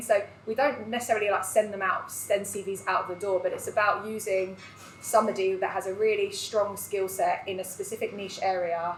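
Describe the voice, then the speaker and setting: A woman's medium-pitched voice with fairly even intonation against noticeable background noise. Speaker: recruitment business owner. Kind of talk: live panel discussion. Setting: live event with audience. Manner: loud.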